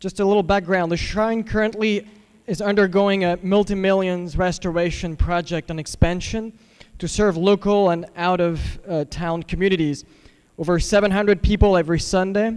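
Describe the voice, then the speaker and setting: The man speaks with a slight French accent at a high pitch. His pace is moderate, and his intonation fairly even. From France, Paris. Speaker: pastor. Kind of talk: public comment.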